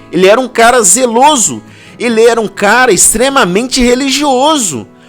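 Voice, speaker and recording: A man talks. Background music plays behind his voice. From Belo Horizonte, Minas Gerais, Brazil. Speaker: pastor. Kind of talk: sermon talk to camera. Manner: casual, informal.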